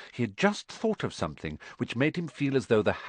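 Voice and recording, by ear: A natural voice reading aloud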